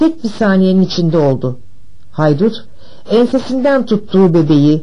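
Read in a natural voice, the words carry lively intonation.

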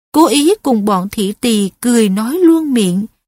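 Over a quiet background, lively intonation carries an unforced reading voice.

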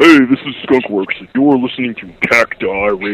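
A man's put-on character voice at a moderate pace, medium pitch, and ordinary pitch variation. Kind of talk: radio drop.

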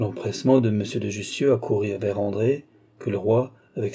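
The clip consists of plain reading aloud.

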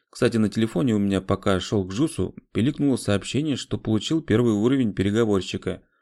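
The unforced reading voice shows ordinary pitch variation.

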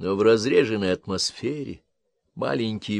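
Background conditions are quiet. The voice reads aloud in a natural voice, with ordinary pitch variation.

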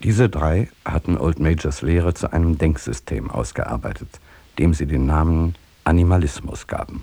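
A man uses a put-on character voice, pitched extremely low, with a dark, mellow tone, vocal fry and a slightly husky edge. He speaks at a moderate pace with few pauses and ordinary pitch variation.

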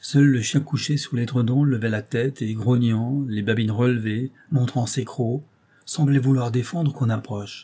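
The speaker uses an unforced reading voice. Nothing else marks the delivery.

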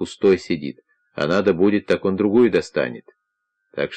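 Someone uses a natural reading voice against a quiet background.

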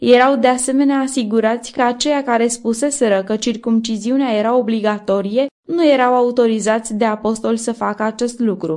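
A woman's fairly high pitch with fairly even intonation and a slightly mellow tone

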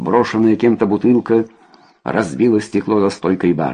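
The voice reads aloud plainly with fairly even intonation.

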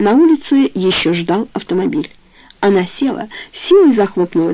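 A natural reading voice is heard here.

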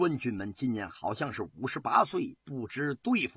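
A man puts on a character voice at medium pitch, with a fairly bright tone and a husky, rough edge. His pitch swings widely as he goes at a moderate pace.

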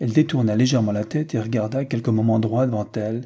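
Someone reads aloud naturally, and the intonation holds fairly even.

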